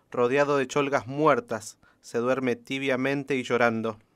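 A man's normal speaking voice at medium pitch, fairly slow in pace, with fairly even intonation. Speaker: radio host and poetry reader. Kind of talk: poem reading on radio. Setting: radio studio.

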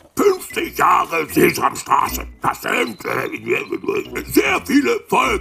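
Fairly slow delivery in a cartoonish character voice. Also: man. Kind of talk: TV news commentary parody. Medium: puppet.

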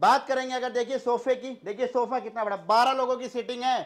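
Here a man talks with an extremely high pitch and monotone, flat intonation. He goes at a fairly slow pace over a quiet background. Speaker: real estate dealer. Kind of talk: sales pitch. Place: home room.

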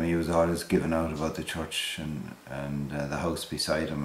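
A man's very deep, low voice, monotone and flat, at a moderate pace, with audible room echo and light background noise. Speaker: interviewee. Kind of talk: interview answer. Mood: relaxed, amused. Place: home room. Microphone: camera far.

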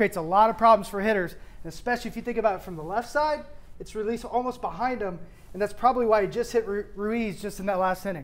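At a very fast pace, a man with a high pitch speaks with ordinary pitch variation. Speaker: baseball analyst. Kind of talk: commentary. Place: studio. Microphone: lapel.

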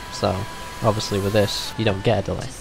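The sound is dry with no echo, and music is clearly heard in the background. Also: man. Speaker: tutorial maker. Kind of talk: screen-recorded tutorial narration. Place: home room.

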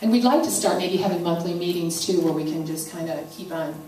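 Fairly quick speech over light background noise, with audible room echo. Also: woman. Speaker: presenter. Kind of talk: informational talk to an audience. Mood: earnest, concerned. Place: church. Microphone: handheld.

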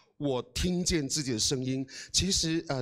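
Against a quiet background, a man speaks in an animated tone with ordinary pitch variation. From Taiwan, Amis village in Hualien; Taiwan. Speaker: guest. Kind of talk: motivational talk. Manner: hesitant, many fillers. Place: hall. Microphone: handheld.

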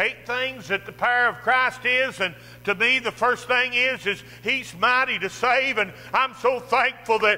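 The man's voice is raised and projected. His pitch moves up and down in an ordinary way. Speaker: preacher. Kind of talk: sermon. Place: church. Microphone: podium.

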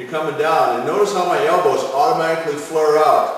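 A man with a high-pitched voice speaks amid strong room echo. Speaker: strength coach. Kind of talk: tutorial. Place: gym. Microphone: camera far.

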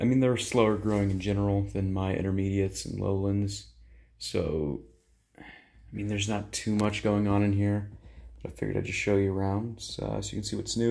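A man talks at a fairly quick pace with a fairly low pitch. His tone is dark and mellow. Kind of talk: casual vlog chat. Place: empty room. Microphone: phone near.

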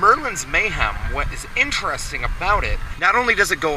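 Music plays in the background as a man speaks. The sound is dry with no echo. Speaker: family travel vlogger. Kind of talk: casual vlog commentary. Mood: nervous but amused. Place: open country. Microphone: phone near.

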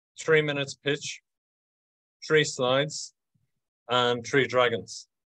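Against a quiet background, a man talks at a very slow pace with a Dublin accent. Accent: Dublin Irish. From Dublin, Ireland. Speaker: event co-host. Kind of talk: host introduction on webinar. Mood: upbeat, welcoming. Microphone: video call.

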